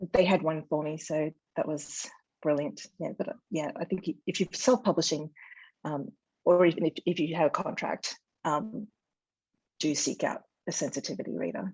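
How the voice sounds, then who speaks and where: This woman talks at a moderate pace with an Australian accent and a fairly low pitch. Long pauses come often. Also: ordinary pitch variation. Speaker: novelist. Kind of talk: interview. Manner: hesitant, many fillers.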